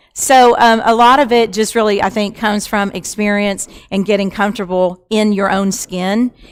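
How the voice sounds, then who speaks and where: A woman speaks at a medium pitch and a moderate pace with hardly any pauses. Her intonation stays fairly even. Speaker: panelist at women's real estate event. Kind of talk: panel discussion. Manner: loud.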